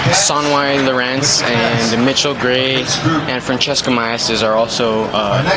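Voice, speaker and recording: At a fairly slow pace, the speech holds very even loudness and fairly even intonation, with audible room echo and noticeable background noise. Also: man, medium pitch for a man. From New Mexico pueblo. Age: 20s. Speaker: hoop dancer and dance instructor. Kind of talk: interview. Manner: halting, many fillers.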